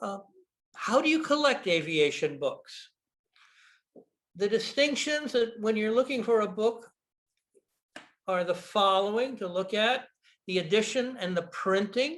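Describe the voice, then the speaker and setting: With an American accent, a man speaks at a fairly slow pace in a high pitch with lively intonation. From United States. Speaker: rare aviation book dealer. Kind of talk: presentation with slides. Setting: video call. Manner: halting.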